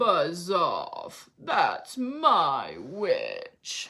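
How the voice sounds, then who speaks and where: This put-on character voice is shrill, high-pitched, croaky and growling. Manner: menacing, rude.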